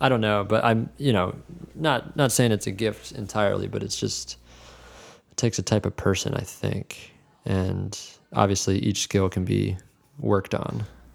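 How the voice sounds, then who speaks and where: A man with an American accent, fairly low in pitch with vocal fry, ordinary pitch variation, a moderate pace and long, frequent pauses. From New Jersey. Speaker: keyboardist. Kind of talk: interview.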